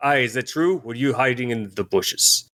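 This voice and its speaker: A man performs a put-on character voice at a medium pitch. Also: moderate pace. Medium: actual play. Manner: measured, suspicious.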